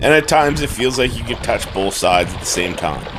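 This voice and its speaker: Amid noticeable background noise, a man speaks with lively intonation at a medium pitch and a fairly quick pace. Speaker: canoeist, outdoor vlogger. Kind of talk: documentary voice-over narration.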